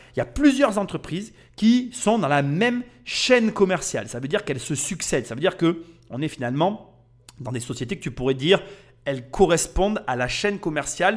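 A man speaks at a high pitch in an animated tone, with very wide pitch swings and big swings in loudness. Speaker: podcast host. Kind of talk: casual narration.

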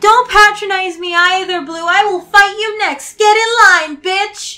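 A put-on character voice, female-sounding and extremely high-pitched, at a fairly slow pace. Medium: dub. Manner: angry, defiant.

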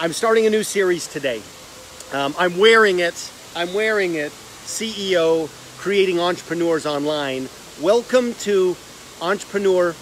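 A man's high-pitched voice at a fairly slow pace, with ordinary pitch variation, light background noise and a dry sound with no echo. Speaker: online host. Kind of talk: casual livestream vlog chat. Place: garden. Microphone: phone near.

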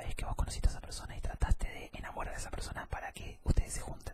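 Someone soft-spoken talks at a very fast pace. Loud background noise fills the recording. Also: man. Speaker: ASMR content creator. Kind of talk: casual vlog chat. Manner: soft-spoken close-mic ASMR voice. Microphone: studio mic.

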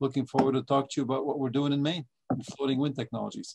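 A man's voice in quiet surroundings. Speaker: guest. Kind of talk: webinar introduction. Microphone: video call.

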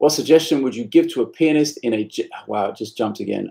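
A man with a British accent at a fairly quick pace, against a quiet background. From UK. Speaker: bass teacher. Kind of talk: live stream Q&A; live stream Q&A chat. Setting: practice room. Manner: casual, frequent fillers. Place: home room. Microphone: webcam.

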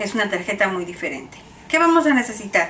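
The voice belongs to a woman. Behind her sits light background noise. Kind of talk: tutorial. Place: home room. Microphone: camera far.

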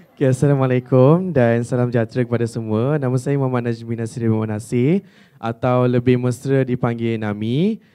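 Against a quiet background, a man talks with a dark, mellow tone. His intonation is fairly even. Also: fairly quick pace. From Malaysia. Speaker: student. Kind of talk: audience question. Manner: halting. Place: hall.

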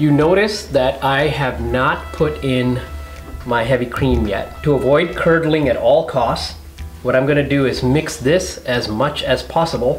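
Faint music can be heard behind the talking. The man delivers his words at a fairly slow rate. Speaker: home cook host. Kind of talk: tutorial. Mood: warm, explanatory. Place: home room.

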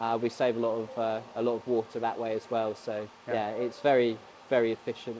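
The delivery is monotone and flat, with light background noise behind it. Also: man, fairly quick pace. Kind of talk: interview answer. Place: factory.

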